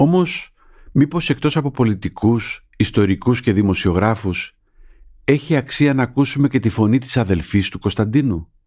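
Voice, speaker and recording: A man speaks at a moderate pace with a medium pitch and lively intonation, in an unremarkable speaking voice. The background is quiet. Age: middle-aged. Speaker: journalist, podcast host. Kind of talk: scripted narration.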